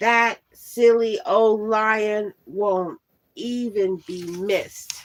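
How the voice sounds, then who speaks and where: A woman uses a put-on character voice at a fairly high pitch, with a hissing sound. She speaks at a very slow pace. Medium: read story. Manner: sneering.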